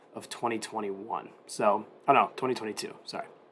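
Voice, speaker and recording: Fairly low in pitch, a man speaks with monotone, flat intonation. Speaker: stock trader. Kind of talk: stock market analysis to camera.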